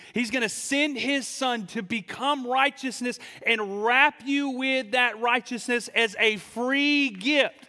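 A man's raised, projected voice sits at an extremely high pitch, with a bright, sharp tone and ordinary pitch variation. He speaks at a fairly slow pace against a quiet background. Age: 30s. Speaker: student pastor. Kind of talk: sermon. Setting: church service with live audience. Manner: animated. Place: church. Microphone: handheld.

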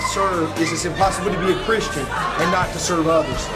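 Loud music fills the background. Over it, a man talks at a moderate pace. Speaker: guest preacher. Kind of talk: interview answer. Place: hall. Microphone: camera far.

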